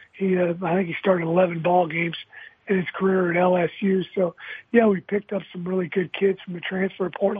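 The man's high-pitched voice stays monotone, with flat intonation throughout. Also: moderate pace. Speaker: college football head coach. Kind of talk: interview.

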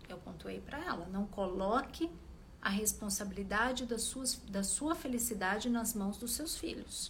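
Using lively intonation, a woman speaks at a fairly slow pace with a fairly high pitch. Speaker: relationship coach. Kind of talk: live stream talk to followers. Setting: live video stream.

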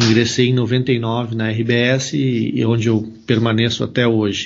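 At a very slow pace, a man talks. His pitch sits in the medium range. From Rio Grande do Sul, Brazil (Venâncio Aires). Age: 40s. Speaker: sports journalist. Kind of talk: casual interview.

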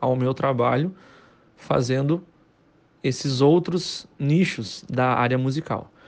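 A man talks at a very slow pace. His medium pitch shows ordinary variation. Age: 30s. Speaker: musician and music teacher. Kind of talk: casual monologue to camera.

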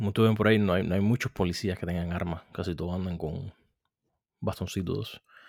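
Over a very clean recording with a silent background, a man speaks at a fairly quick pace. His voice is very deep and low, with fairly even intonation. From Cuba. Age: 30s. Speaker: podcast host. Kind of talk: solo commentary.

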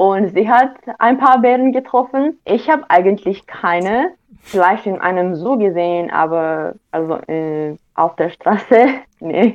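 A woman speaks at a very slow pace with a Romanian accent. Her intonation is lively. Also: medium pitch for a woman. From Romania, Oradea. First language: Romanian (speaking German). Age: young. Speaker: university student. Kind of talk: interview. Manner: halting.

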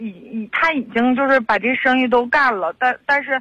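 A woman's voice is high-pitched, with a bright, sharp tone and fairly even intonation. The moderately paced speech sounds dry and close, with no echo. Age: 30s. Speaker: caller. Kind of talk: phone call to radio show. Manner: halting, many fillers.

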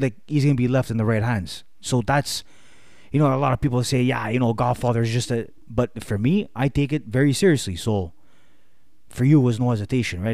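Speaking very fast, a man uses a medium pitch with a dark, mellow tone and ordinary pitch variation. The recording is very clean with a silent background. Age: 30s. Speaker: podcast guest, fitness enthusiast. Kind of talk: casual chat.

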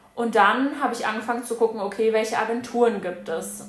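A woman talks with fairly even intonation. Audible room echo is present. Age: 20s. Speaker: former au pair. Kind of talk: casual chat.

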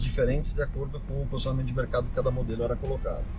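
Audible room echo and background music around a man's voice. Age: 40s. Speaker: classic car collector. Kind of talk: casual chat. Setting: in a car.

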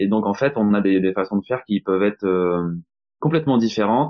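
At a fairly quick pace, a man with a plain, everyday voice and fairly low pitch speaks with ordinary pitch variation. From Normandy, France. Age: 30s. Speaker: employee of an energy transition association. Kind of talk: podcast interview.

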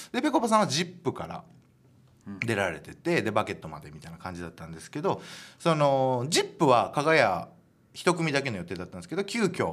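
A man's fairly high voice with very wide pitch swings, big swings in loudness and vocal fry. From Japan, Hiroshima. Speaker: comedian and radio host. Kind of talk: solo radio talk.

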